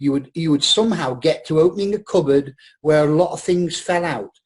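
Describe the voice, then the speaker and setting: The speaker uses lively intonation with a northern English accent. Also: man. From northern England. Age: 60s. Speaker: actor. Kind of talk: casual chat.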